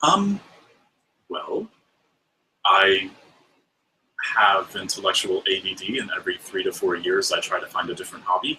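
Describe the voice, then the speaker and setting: A man with a Mid-Atlantic US accent at a moderate pace, broken by long, frequent pauses. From US Mid-Atlantic. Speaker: podcast guest, fiber arts personality. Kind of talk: casual interview chat.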